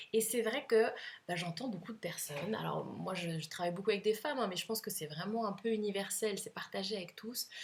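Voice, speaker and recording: Somewhat breathy, a woman speaks at a fairly quick pace. Her medium pitch shows ordinary variation. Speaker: couples coach. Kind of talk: advice monologue to camera. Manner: hesitant fillers.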